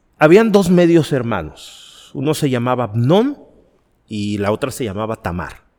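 The man's voice swings very widely in pitch. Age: 40s. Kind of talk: podcast interview.

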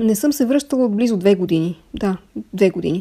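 This woman has a dark, mellow tone and medium pitch. She talks at a moderate pace with ordinary pitch variation. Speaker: screenwriter. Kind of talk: recorded interview answers.

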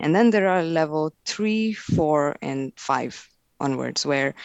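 A woman with an Indian accent speaks at a fairly slow pace. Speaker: technical marketing manager. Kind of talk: casual interview chat.

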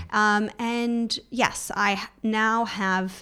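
A woman talks with a Californian accent on a very clean recording with a silent background. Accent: American (California). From US, Los Angeles. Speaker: e-commerce consultant. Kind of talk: interview.

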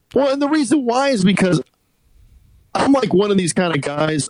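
A man speaks in an American accent. The sound is dry and close, with no echo. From US Northeast. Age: 40s. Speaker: podcast host. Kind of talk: casual chat. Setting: phone call.

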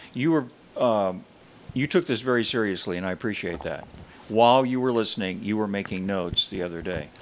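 At a fairly quick pace, lively intonation marks an unremarkable speaking voice. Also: man, fairly low pitch for a man. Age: 60s.

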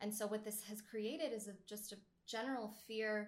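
Her voice is fairly high and somewhat breathy. The woman talks at a moderate pace. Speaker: dating coach. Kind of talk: interview conversation.

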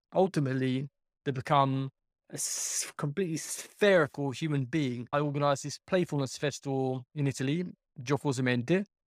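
With an English accent, a man speaks at a moderate pace in a fairly high voice with ordinary pitch variation. The recording is very clean and dry, close, with no echo and a silent background. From UK. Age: 40s. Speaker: life coach and juggler. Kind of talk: casual chat.

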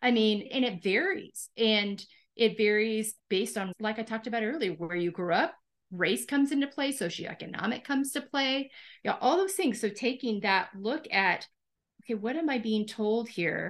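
Over a quiet background, a woman with a plain, everyday voice and a fairly high pitch speaks with lively intonation. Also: moderate pace. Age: 50s. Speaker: podcast host. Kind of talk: interview.

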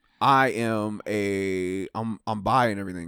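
Dry and close with no echo, on a very clean recording with a silent background, a man at a medium pitch speaks in an unremarkable speaking voice with fairly even intonation. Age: 30. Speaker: podcast host. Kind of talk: casual chat.

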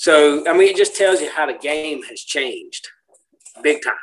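With an American accent, the man talks. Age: 50s. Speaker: podcast co-host. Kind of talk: casual chat.

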